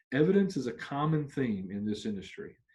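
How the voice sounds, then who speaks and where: A somewhat breathy man at a fairly high pitch, very wide pitch swings and a fairly quick pace, over a quiet background. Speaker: union trainer. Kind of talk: training session. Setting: virtual video recording. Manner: fast.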